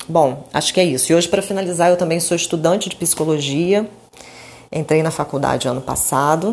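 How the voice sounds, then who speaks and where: A woman speaks at a fairly quick pace. Her pitch is fairly low, with ordinary pitch variation. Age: 40s. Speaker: holistic therapist. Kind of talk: personal monologue. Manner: halting.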